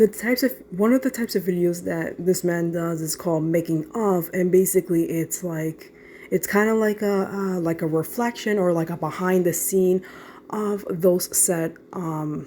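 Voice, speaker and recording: Her voice has a dark, mellow tone and a fairly low pitch. The woman talks at a moderate pace. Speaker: gaming youtuber. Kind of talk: casual update vlog. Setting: limited space, home recording. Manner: monotone.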